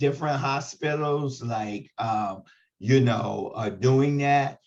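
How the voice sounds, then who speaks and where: Somewhat breathy, a man speaks very slowly with ordinary pitch variation. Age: 60s. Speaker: HIV advocate and trainer. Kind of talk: training webinar discussion.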